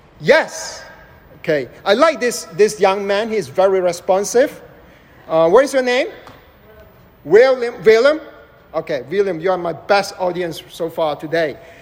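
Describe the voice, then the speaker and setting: Against noticeable background noise, a man speaks fairly slowly at a high pitch, with very wide pitch swings and long, frequent pauses. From Malaysia. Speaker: preacher. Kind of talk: sermon. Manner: interactive, questions to audience.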